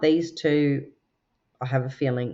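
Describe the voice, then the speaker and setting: With an Australian accent, a woman speaks in a very deep, low pitch with ordinary pitch variation. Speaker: tarot and oracle card reader. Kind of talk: card reading. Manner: relaxed, chatty with fillers.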